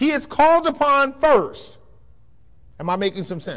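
At a moderate pace, a man talks with an American accent against a quiet background. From Bay Area, California; California. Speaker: pastor. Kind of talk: lecture. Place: church.

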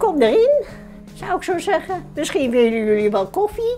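A woman's high-pitched voice with very wide pitch swings, faint music in the background. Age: 80s+. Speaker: voter. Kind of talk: interview answer. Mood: warm, hospitable, opinionated.

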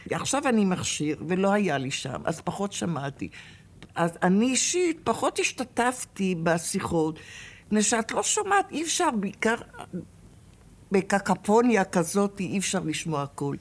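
With very wide pitch swings around a medium pitch, a woman speaks at a fairly slow pace. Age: 80s+. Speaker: former hostage. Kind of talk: interview testimony. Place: hall.

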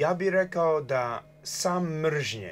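A man speaks with an English accent. His pace is very slow, and his pitch varies in an ordinary way. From Canada, New Brunswick. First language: English (speaking Croatian). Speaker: journalist and political activist; journalist. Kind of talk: TV interview. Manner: halting. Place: studio. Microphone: lapel.

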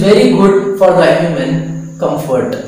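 Strong room echo surrounds a man speaking at a high pitch.

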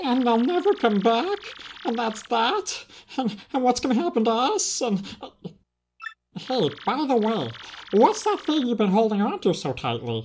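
The voice is fairly high in pitch and moves at a moderate pace, broken by long, frequent pauses. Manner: rambling, anxious, blunt.

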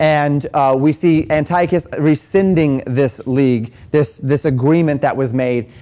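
This man speaks at a fairly slow pace in a dark, mellow tone. His intonation stays fairly even. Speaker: pastor teaching a class. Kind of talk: lecture. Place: church. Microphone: lapel.

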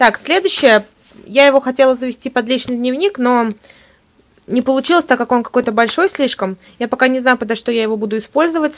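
Her pitch is high, and this woman speaks with ordinary pitch variation. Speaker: student video blogger. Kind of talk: casual show-and-tell vlog. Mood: enthusiastic, cheerful. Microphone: phone near.

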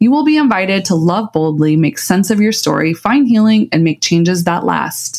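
A woman talks in an ordinary speaking voice at medium pitch and a moderate pace. Her intonation is lively. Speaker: podcast co-host. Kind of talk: casual chat.

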